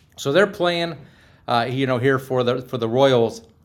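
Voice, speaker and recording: With an American accent, this voice shows ordinary pitch variation. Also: man. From US, Pittsburgh. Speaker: professional speaker, sports ministry enthusiast. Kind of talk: casual interview.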